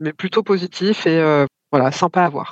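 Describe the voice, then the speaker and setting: A woman with a plain, everyday voice speaks at a medium pitch with lively intonation, the sound dry and close with no echo. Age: 40s. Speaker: mother sharing her experience. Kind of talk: testimony.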